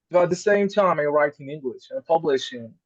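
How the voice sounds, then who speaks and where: A man with an Arabic accent at a fairly quick pace. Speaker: scholar. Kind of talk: panel discussion. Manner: halting.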